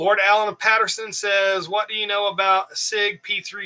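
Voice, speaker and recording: A bright, sharp tone comes through in a raised, projected voice. The pace is moderate. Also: man. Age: 50s. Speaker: prepper livestream host. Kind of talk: live Q&A chat. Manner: casual, hesitant with fillers.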